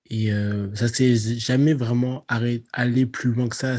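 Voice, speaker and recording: Somewhat breathy, a man speaks in a dark, mellow tone with monotone, flat intonation, in a dry, close sound with no echo. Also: quiet background. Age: young. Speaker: podcast guest. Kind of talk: personal testimony.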